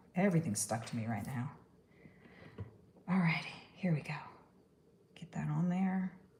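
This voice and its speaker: With lively intonation and a moderate pace, a woman with an American accent speaks in a very deep, low voice. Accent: Texan accent today. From New York. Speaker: stop-motion artist. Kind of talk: live-stream crafting tutorial. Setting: live stream. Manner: casual, chatty.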